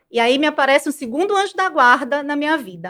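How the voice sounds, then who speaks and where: In a Maranhão accent, a woman with a high voice talks at a fairly quick pace with lively intonation. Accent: Maranhão accent, noticeable. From Brazil, Maranhão (São Luís). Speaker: business management professional. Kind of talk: podcast interview.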